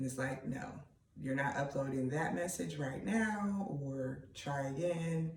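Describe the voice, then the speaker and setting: Delivered at a fairly slow pace with lively intonation and very even loudness, the voice carries audible room echo over noticeable background noise. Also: man, fairly high pitch for a man. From Pennsylvania. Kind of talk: casual monologue vlog.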